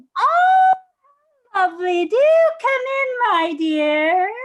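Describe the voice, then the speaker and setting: A female-sounding, put-on character voice at an extremely high pitch. It moves at a very slow pace. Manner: sweetly welcoming.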